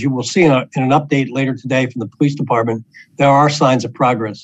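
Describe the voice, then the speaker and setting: A man talks at a very fast pace, the sound dry with no echo. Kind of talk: prepared press briefing remarks. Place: office. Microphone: video call.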